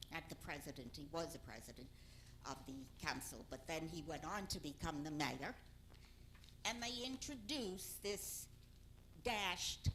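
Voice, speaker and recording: A woman's vocal fry and very wide pitch swings at a moderate pace, with audible room echo. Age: old. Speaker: public commenter at council meeting. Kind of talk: public comment at council meeting.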